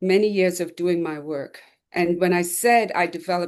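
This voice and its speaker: She has a plain, everyday voice, fairly low for a woman, with fairly even intonation. She speaks at a fairly quick pace against a quiet background. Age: 60s. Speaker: retired police officer, 9/11 first responder. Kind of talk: testimony.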